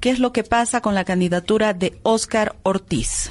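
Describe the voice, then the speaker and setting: A woman with an unremarkable speaking voice and a fairly high pitch, ordinary pitch variation, at a fairly slow pace. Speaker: radio host. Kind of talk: radio interview. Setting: radio studio.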